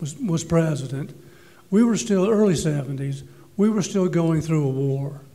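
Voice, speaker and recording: The pace is moderate, with ordinary pitch variation. Audible room echo and noticeable background noise fill the recording. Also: man. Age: 60s. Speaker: panelist on medical cannabis. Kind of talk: panel discussion.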